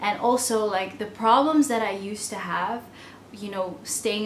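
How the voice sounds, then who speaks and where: A woman at a medium pitch talks at a moderate pace with ordinary pitch variation, with audible room echo and noticeable background noise. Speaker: entrepreneur vlogger. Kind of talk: personal vlog monologue. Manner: casual, with frequent fillers.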